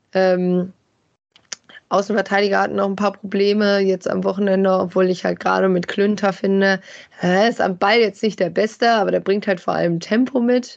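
A woman speaks at a medium pitch and moderate pace. Her intonation is monotone and flat, her loudness very even. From Germany, Bielefeld. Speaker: football fan expert. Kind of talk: casual chat.

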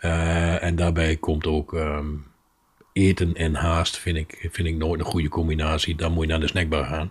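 On a very clean recording with a silent background, a man's very deep, low, somewhat breathy voice holds a flat monotone. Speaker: podcast co-host. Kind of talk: recipe tutorial; casual chat. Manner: slow.

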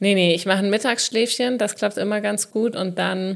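At a moderate pace and with ordinary pitch variation, this voice comes through on a very clean recording with a silent background. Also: woman. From southern Hesse. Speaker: podcast host and comedian. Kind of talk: casual chat.

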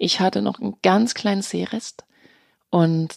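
On a very clean recording with a silent background, a woman speaks at a fairly slow pace, the sound dry and close with no echo. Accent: Danish. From Denmark. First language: Danish (speaking German). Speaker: actress and voice artist. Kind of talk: interview. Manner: hesitant with fillers.

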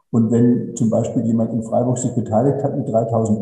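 The speech moves at a fairly quick pace with audible room echo. Music plays in the background. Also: man. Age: 70s. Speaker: renewable energy company director. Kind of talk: interview. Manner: concise.

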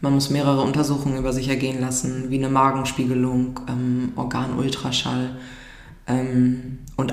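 Room echo is audible, along with noticeable background noise. A woman speaks in a flat monotone at a very deep, low pitch. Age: 20s. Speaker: nurse. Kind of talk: casual chat.

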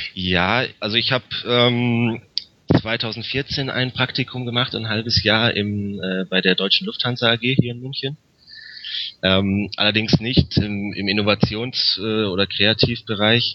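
At a very slow pace, a man talks with fairly even intonation at a medium pitch. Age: 20s. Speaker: master's student. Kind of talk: interview. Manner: halting, many filler sounds.

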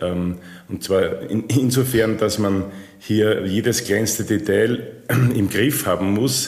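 A man's fairly low voice, fairly even in intonation, with audible room echo. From Austria. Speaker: packaging machinery sales manager. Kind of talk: interview.

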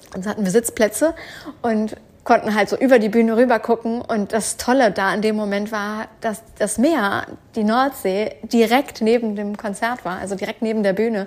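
At a moderate pace, a woman with an unremarkable speaking voice talks at a fairly high pitch with fairly even intonation. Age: 30s. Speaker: podcast host, online business coach. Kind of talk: casual personal monologue. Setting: at home on the couch.

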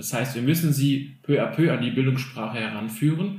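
A somewhat breathy man, fairly high in pitch with ordinary pitch variation, at a fairly quick pace, with audible room echo. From Germany, Bielefeld area (Kosovo-Albanian parents). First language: Albanian (speaking German). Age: 30s. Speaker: teacher. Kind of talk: casual chat. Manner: very clear articulation.

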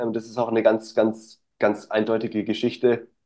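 Talking fairly slowly, a man keeps his voice at a medium pitch. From Stuttgart area, Germany. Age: 20s. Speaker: nutrition coach. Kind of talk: casual interview.

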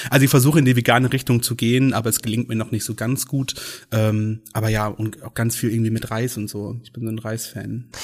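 A man talks at a fairly quick pace and medium pitch in a monotone, flat intonation, his loudness swinging widely. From Schleswig-Holstein, northern Germany. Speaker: pride event organizer. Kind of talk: casual interview.

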